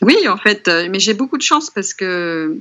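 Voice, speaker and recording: Her intonation lively, a woman speaks. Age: 50s. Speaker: painter. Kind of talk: interview. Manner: halting.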